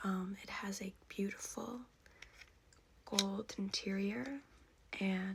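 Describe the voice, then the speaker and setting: Soft-spoken and calm in tone, a woman talks at a fairly high pitch. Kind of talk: ASMR vintage makeup collection show-and-tell. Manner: soft-spoken, calm.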